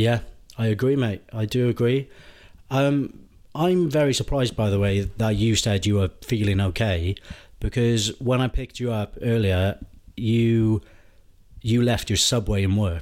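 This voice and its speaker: With a Welsh accent, a man speaks at a medium pitch and a fairly slow pace, with ordinary pitch variation, very even loudness and long, frequent pauses, on a very clean recording with a silent background. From Wales. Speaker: football podcast co-host. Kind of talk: casual chat.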